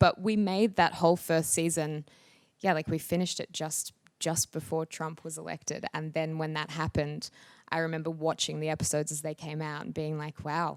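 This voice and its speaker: On a very clean recording with a silent background, a woman with an Australian accent speaks at a fairly quick pace in a very deep, low voice, her intonation fairly even and the sound dry and close with no echo. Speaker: actress. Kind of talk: interview answer. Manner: hesitant, casual.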